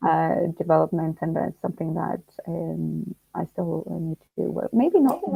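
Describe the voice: Low-pitched woman's voice, dark and mellow with a slightly husky edge and vocal fry, lively in intonation, at a moderate pace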